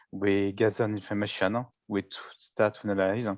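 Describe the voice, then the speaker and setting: A man with a French accent speaks at a fairly low pitch and a moderate pace. The sound is dry and close with no echo. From France, Paris area. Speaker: data visualization contest participant. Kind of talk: presentation of own work. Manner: halting.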